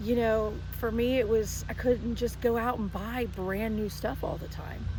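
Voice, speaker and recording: An American accent marks this woman's fairly high, ordinarily varied pitch. She talks at a fairly slow pace, with audible room echo. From US South. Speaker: home decor business owner, artist. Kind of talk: casual chat. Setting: outdoors. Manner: loud. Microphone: no microphones.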